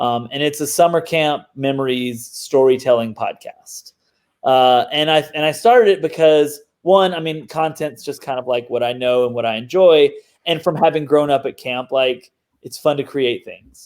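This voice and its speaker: This is a man with a slight Southern US accent. His pitch is fairly high. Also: ordinary pitch variation, moderate pace. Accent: mild Southern US. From US South, Mississippi. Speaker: digital marketer and podcast host. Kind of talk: casual interview chat. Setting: video call.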